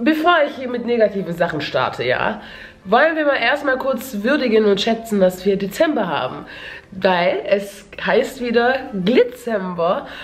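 With music in the background and audible room echo, a woman speaks at a fairly slow pace and a fairly high pitch, her intonation lively. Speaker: beauty and lifestyle YouTuber. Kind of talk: casual vlog. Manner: halting, many fillers.

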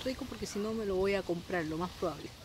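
Against noticeable background noise, a woman speaks with ordinary pitch variation in a dry sound with no echo. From Chile. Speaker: beauty product sales consultant and vlogger; beauty product sales consultant, vlogger. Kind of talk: casual unboxing vlog. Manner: chatty, animated. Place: garden. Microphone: phone near.

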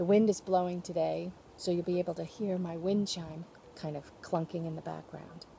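A woman speaks at a moderate pace with a fairly low pitch and a dark, mellow, somewhat breathy tone. Light background noise can be heard. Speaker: presenter. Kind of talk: tutorial. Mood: cheerful, friendly. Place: garden. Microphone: phone near.

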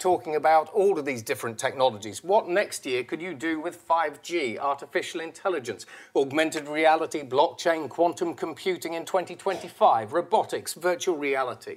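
A man speaks in a normal speaking voice, fairly high in pitch, at a moderate pace with ordinary pitch variation. He hardly pauses at all, and the background is quiet. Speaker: futurologist; presenter. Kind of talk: presentation. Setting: stage with audience. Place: hall.

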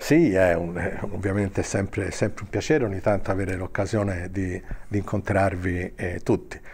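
A man speaks with a very deep, low pitch and a somewhat breathy voice. His pace is moderate and his intonation fairly even. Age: old. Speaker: former politician. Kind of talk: interview. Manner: halting, repeating words. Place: hall. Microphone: handheld.

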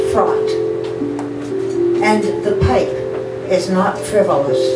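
A woman at a very slow pace, amid loud background noise and audible room echo. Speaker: poet. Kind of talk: poetry reading. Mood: solemn, measured. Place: cafe. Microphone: camera far.

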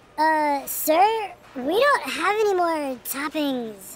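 A high-pitched, cartoonish character voice at a very slow pace. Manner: hesitant.

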